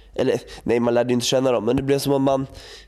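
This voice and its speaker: A man's voice with music in the background. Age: 20s. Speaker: podcast co-host. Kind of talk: casual chat.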